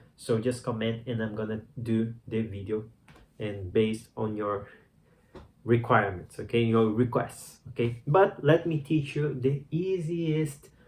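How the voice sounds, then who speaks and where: A man with a somewhat breathy voice speaks at a medium pitch and a fairly slow pace, with ordinary pitch variation. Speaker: meditation teacher. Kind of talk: tutorial. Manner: casual, conversational; halting.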